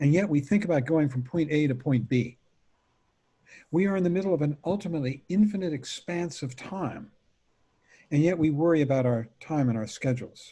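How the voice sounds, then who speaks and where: A man talks at a fairly quick pace with a fairly high pitch and ordinary pitch variation. His dark, mellow tone is somewhat breathy, broken by long, frequent pauses. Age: 70s. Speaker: meditation teacher. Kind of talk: dharma talk. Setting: video call.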